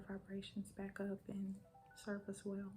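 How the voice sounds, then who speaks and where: A woman's medium-pitched voice at a very slow pace, with music in the background. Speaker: ASMR wellness and energy healer. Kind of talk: ASMR guided relaxation and affirmations. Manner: soft, calming.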